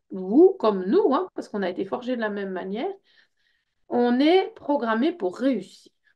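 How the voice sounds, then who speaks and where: A woman speaks with a Belgian accent at a fairly slow pace. Her high pitch moves in very wide swings. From Belgium. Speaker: personal development workshop leader. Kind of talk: information session presentation. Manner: hesitant, many fillers.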